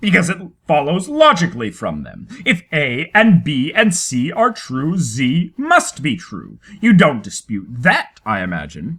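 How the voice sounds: A woman puts on a character voice, low-pitched with a fairly bright tone and a slightly husky edge. She speaks at a fairly slow pace with few pauses and very wide pitch swings.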